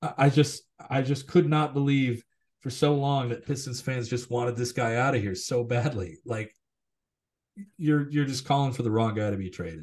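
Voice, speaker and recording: Somewhat breathy, a man speaks at a medium pitch and moderate pace. His pitch varies in an ordinary way. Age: 30s. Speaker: sports podcast co-host. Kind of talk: casual chat.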